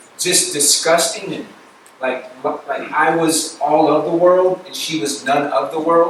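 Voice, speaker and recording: A man with an American accent speaks at a fairly high pitch, with audible room echo and noticeable background noise. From US South, north Florida. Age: 30s. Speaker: campus ministry speaker. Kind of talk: sermon testimony.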